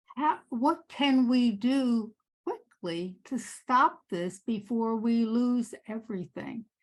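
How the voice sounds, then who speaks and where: A woman's fairly high voice with lively intonation at a very slow pace, over a quiet background. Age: 80s+. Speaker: audience member, parent. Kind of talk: audience question. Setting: conference meeting with audience.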